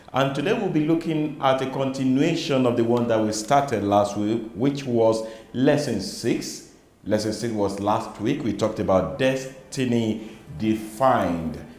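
A man talks at a fairly slow pace with ordinary pitch variation, and audible room echo can be heard. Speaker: Sunday school program host. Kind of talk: religious teaching program introduction. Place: studio. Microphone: lapel.

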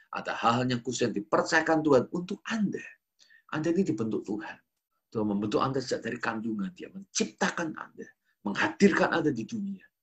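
A man's somewhat breathy, fairly high voice, very fast, with very wide pitch swings. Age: 40s. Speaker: pastor. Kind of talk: sermon. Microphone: webcam.

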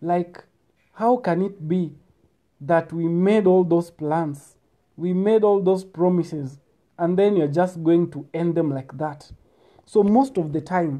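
Over a quiet background, a man with a high pitch and a dark, mellow tone talks at a very slow pace with ordinary pitch variation and long, frequent pauses. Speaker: speaker. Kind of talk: casual advice talk. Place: home room. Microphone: earbuds.

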